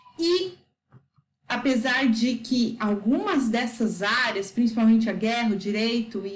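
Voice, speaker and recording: A woman's fairly high voice, very slow, with ordinary pitch variation and audible room echo. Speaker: educator explaining a book. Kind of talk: lecture.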